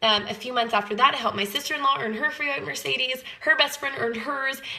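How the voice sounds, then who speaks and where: Her voice is raised and projected, high-pitched, with ordinary pitch variation. The woman talks at a very fast pace amid noticeable background noise. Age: 20s. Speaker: network marketing sales leader. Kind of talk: personal testimony sales pitch.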